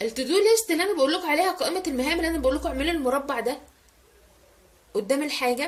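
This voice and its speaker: A loud woman with an Egyptian accent speaks at a very fast pace in a high voice. Her intonation is lively and her tone animated. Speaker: lifestyle vlogger. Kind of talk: casual vlog tutorial. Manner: animated, voice rises with excitement.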